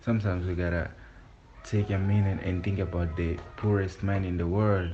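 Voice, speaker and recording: In a Portuguese accent, a man talks at a moderate pace in a very deep, low voice with monotone, flat intonation and audible room echo. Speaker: vlogger. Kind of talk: personal voice note. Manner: halting.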